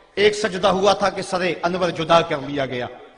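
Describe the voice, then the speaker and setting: A man talks at a high pitch in a passionate tone. Noticeable background noise runs underneath. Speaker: Islamic preacher giving a sermon. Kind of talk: religious sermon (bayan) on the Battle of Karbala. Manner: emotive, passionate, oratorical.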